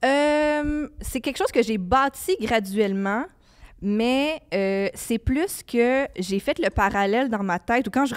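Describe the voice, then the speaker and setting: The woman's intonation is lively, and the background stays quiet. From Quebec, Laval; Quebec. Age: 30s. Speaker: podcast host. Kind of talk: casual chat. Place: studio. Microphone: handheld.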